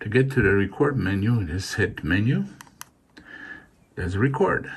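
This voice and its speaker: A man speaks at a fairly slow pace, fairly low in pitch. His pitch swings very widely. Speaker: ham radio hobbyist youtuber. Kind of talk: tutorial. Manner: halting, many fillers.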